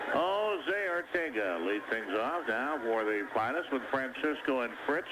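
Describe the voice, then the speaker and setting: A man's speech comes with noticeable noise in the background. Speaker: baseball play-by-play announcer. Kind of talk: live baseball radio play-by-play.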